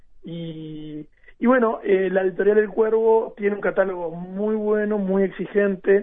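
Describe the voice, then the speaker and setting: A man with a high pitch speaks fairly slowly, his intonation fairly even. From Uruguay, Maldonado. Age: 40s. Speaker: writer and national library director. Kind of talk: radio interview. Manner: halting, many fillers and repetitions.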